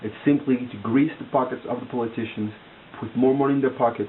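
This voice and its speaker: With a non-native accent, a man of medium pitch speaks over noticeable background noise. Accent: foreign. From outside the US. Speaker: vlogger. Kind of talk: casual monologue to camera. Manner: halting, many fillers and repetitions.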